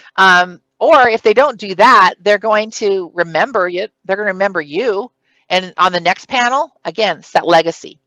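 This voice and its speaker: A loud woman's voice, bright and sharp in tone, with very wide pitch swings, in a dry, close sound with no echo on a very clean recording with a silent background. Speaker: city clerk giving a conference training session. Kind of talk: conference presentation. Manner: loud, presentation-style projection.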